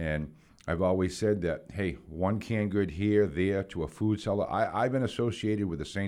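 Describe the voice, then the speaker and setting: This man speaks with a New England accent in a very deep, low pitch, with ordinary pitch variation and a moderate pace. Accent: New England American. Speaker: community volunteer. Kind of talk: casual chat.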